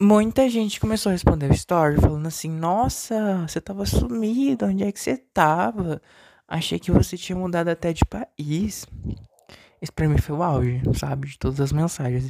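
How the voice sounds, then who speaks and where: This man's pitch swings very widely. His loudness also rises and falls in big swings. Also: dry, close sound with no echo. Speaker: solo podcaster. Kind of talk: personal monologue. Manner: deliberately lower, not forced pitch.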